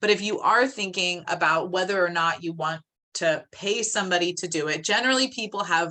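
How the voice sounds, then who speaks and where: Bright, sharp female speech with lively intonation at a moderate pace, in a quiet background. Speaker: social media coach for real estate professionals. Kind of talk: webinar presentation. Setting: video call. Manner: animated.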